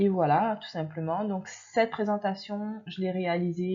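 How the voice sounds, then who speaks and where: Fairly slow speech from a woman with a medium pitch. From Réunion island. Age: 30s. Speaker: youtuber, nursing assistant. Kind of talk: video presentation. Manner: casual with hesitations.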